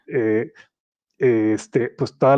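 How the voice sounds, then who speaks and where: A man's dark, mellow tone comes through dry and close, with no echo. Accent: Mexican. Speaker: podcast host. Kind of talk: casual chat. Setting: live stream.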